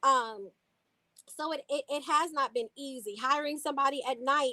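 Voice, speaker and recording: Raised and projected, a woman's high-pitched voice has a bright, sharp tone. Her pitch varies in an ordinary way, and the sound is dry and close with no echo. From Louisville, Kentucky. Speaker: city council member. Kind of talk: interview.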